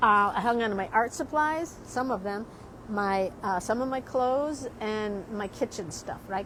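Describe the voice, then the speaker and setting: A woman with a fairly high pitch speaks at a moderate pace with lively intonation. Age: 60s. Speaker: artist and drawing teacher. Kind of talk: casual vlog talk. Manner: rambling, repetitive.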